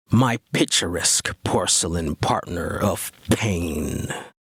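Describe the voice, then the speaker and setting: In a put-on character voice, this man delivers his words at a very slow pace. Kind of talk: theatrical horror host introduction.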